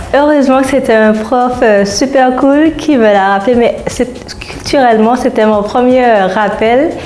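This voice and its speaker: Amid noticeable background noise and audible room echo, a woman with a high pitch speaks at a fairly slow pace, her pitch varying in an ordinary way and her loudness very even. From Saint-Martin (Caribbean). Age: 20s. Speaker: psychologist, former student. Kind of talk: interview testimony.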